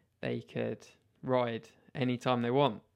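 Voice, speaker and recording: Speaking in a British accent, a man keeps a medium pitch and a monotone, flat intonation. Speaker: mountain bike podcaster. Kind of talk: solo podcast monologue.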